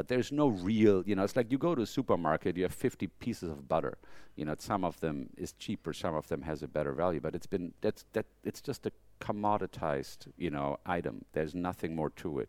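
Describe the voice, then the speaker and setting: A man with a German accent speaks in a very deep, low voice with vocal fry and lively intonation. He goes at a fairly quick pace, and the sound is dry and close with no echo. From Germany. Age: 50s. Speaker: fashion photographer. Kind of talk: interview. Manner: halting.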